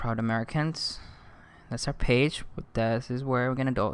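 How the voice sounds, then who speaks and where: A man talks at a fairly quick pace in an upbeat tone. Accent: non-native. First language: not English. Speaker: online marketing instructor. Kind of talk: tutorial. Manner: casual, upbeat.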